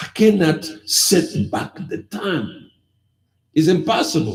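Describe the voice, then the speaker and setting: Audible room echo surrounds this man's voice. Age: 50s. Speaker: pastor. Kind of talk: sermon.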